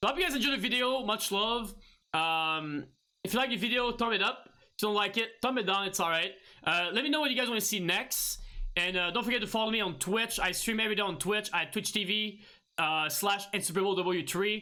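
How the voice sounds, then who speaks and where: A man with a non-native accent projects a raised voice at a high pitch, his tone bright and sharp and his loudness very even, over a quiet background. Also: ordinary pitch variation, fairly quick pace. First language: not English. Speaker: gaming streamer; gamer, streamer. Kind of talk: tutorial. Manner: halting, many fillers and restarts. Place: home room.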